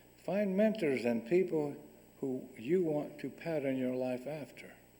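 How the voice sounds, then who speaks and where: Fairly high-pitched man's voice with a dark, mellow tone, ordinary pitch variation and a fairly slow pace, in audible room echo. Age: 70s. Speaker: guest speaker. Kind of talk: lecture. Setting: stage with audience.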